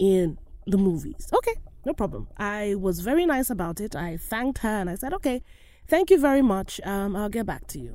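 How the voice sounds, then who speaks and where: A woman's medium-pitched voice with a dark, mellow tone, lively intonation and an African accent. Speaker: podcast host and actor. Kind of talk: solo monologue podcast.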